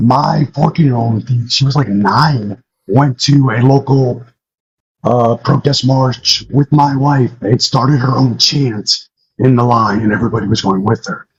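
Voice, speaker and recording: A man speaks fairly slowly at medium pitch, his voice somewhat breathy. His intonation stays fairly even. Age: 40s. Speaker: caller. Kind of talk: casual chat. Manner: halting, many fillers.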